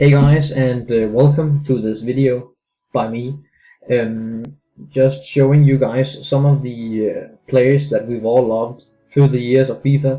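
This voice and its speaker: With music in the background, a man speaks at a medium pitch and a fairly slow pace in a monotone with flat intonation. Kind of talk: gaming commentary. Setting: low-quality microphone. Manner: hesitant, many filler words.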